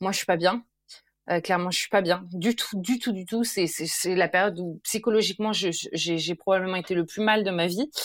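An unremarkable speaking voice at a moderate pace. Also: woman, medium pitch for a woman, ordinary pitch variation. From France and Sweden, bicultural. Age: 30s. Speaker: former primary school teacher, parenting influencer. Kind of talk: casual chat.

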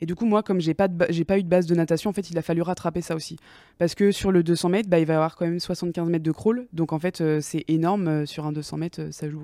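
A dark, mellow voice moves at a very fast pace with fairly even intonation. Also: woman, fairly low pitch for a woman. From France, Angers area. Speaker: athlete. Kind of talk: interview. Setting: studio.

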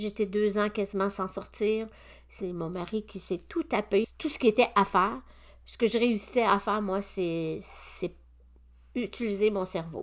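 In a very clean recording with a silent background, a woman with a medium pitch speaks fairly slowly, her loudness swinging widely while her pitch varies in an ordinary way. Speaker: naturopath and podcast host. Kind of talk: personal testimony monologue. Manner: hesitant, with frequent fillers.

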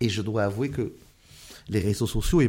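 A man speaks in a dark, mellow tone that is somewhat breathy, with lively intonation. The recording is very clean, with a silent background. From France, Moroccan family background. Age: 40s. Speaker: politician. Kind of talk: interview.

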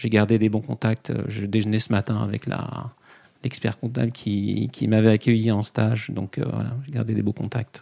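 Dry and close with no echo, a dark, mellow voice with vocal fry speaks at a moderate pace with fairly even intonation. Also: man, fairly low pitch for a man. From Paris region, France. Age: 40s. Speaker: accountant and coach. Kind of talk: podcast interview. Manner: halting, many fillers.

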